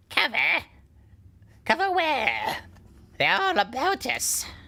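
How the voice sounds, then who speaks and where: A put-on character voice, high in pitch, at a fairly slow pace. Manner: put-on, fake voice.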